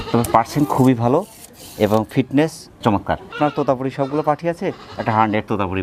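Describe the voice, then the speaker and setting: A man's intonation is lively, while noticeable background noise fills the recording. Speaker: farm channel host. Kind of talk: channel intro; interview at goat farm.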